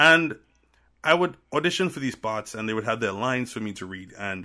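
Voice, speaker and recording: A man talks at a moderate pace in a medium pitch, with an animated tone and lively intonation. His tone is bright and sharp, and the recording is very clean with a silent background. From Trinidad and Tobago. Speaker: media professional, former audio drama producer. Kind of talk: casual interview chat. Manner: animated, laughs often.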